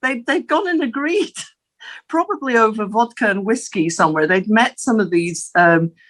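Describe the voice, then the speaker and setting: A woman with an Aberdeen accent, fairly high in pitch with very wide pitch swings, at a moderate pace and very even loudness. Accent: Scottish (Aberdeen). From Scotland, Aberdeen. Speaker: interviewee, former city international relations officer. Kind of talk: interview. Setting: studio. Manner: halting, with fillers.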